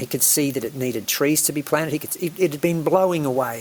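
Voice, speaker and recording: A man speaks at a fairly quick pace with an Australian accent and ordinary pitch variation. Noticeable background noise runs under his voice. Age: 60s. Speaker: island eco-resort operator and pilot. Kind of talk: podcast interview.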